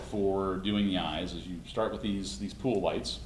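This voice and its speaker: Amid noticeable background noise and audible room echo, a man with a very deep, low pitch speaks at a fairly slow pace. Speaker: costume maker demonstrating a build. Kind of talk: workshop demonstration.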